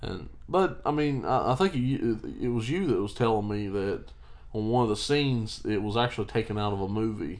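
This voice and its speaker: This man has a plain, everyday voice at a medium pitch, with an American accent. He talks at a moderate pace with lively intonation. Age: 20s. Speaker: podcast co-host. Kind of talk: casual chat. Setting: on a couch.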